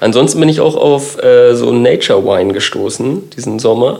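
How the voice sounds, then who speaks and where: Audible room echo and noticeable background noise surround speech delivered at a moderate speed. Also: man. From Kiel, northern Germany. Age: 30s. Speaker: designer. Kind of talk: casual chat.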